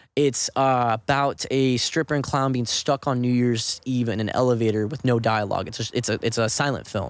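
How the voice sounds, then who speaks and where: A man at medium pitch, hardly any pauses, on a very clean recording with a silent background. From Southern California, Orange County. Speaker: actor and filmmaker. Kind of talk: casual podcast interview. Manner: fast; animated.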